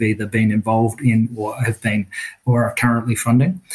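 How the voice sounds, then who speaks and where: In an Australian accent, a man speaks fairly quickly with a somewhat breathy, monotone, flat delivery. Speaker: finance executive. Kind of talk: interview. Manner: halting, with filler words.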